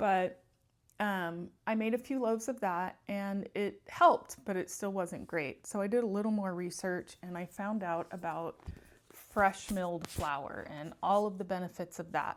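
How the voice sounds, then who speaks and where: A woman speaks in an unremarkable speaking voice at a medium pitch. Her pace is fairly slow and her pitch variation ordinary. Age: 50s. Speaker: lifestyle vlogger. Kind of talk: casual talk to camera.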